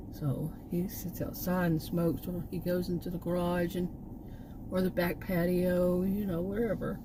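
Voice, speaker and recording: With a Texan accent, a woman talks in a monotone, flat intonation, with audible room echo and noticeable background noise. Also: fairly low pitch for a woman, moderate pace. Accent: Texan (US Southern). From Texas. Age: 60s. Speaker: vlogger, former college teacher. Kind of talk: casual vlog monologue. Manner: halting, many fillers and restarts.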